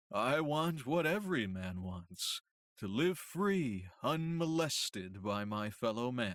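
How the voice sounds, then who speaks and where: Using a put-on character voice, a man sounds resonant at medium pitch, with very wide pitch swings. He goes at a fairly slow pace, and the recording is very clean with a silent background. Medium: read story. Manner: calm, even, soothing, dispassionate.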